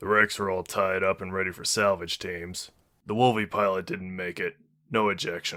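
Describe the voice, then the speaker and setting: In a very clean recording with a silent background, a man does a raspy, put-on character voice, very deep and low, flat and monotone at a moderate pace. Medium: read story. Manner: blunt, casual.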